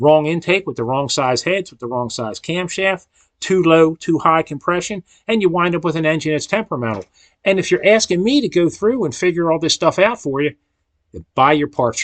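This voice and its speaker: A man with an American accent speaks at a fairly quick pace in a high voice, his intonation lively and his loudness swinging widely, with a dry, close sound and no echo. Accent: regional accent others remark on. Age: 60s. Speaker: engine machinist. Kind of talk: rant to camera. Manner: slurs words slightly; rambling, many repetitions.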